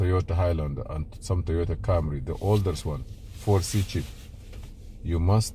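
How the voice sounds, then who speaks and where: A man's very deep, low, somewhat breathy voice with a dark, mellow tone at a moderate pace, dry with no echo over light background noise. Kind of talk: tutorial. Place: car. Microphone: phone near.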